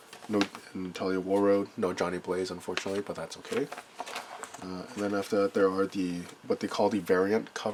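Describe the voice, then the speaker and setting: Noticeable background noise sits behind a man speaking at a fairly quick pace. His intonation is monotone and flat. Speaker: trading card collector. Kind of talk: casual talk to camera.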